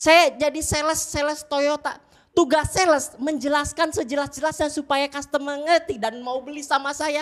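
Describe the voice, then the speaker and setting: A woman's high-pitched voice at a moderate pace, with fairly even intonation and hardly any pauses. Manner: lisping, cadel.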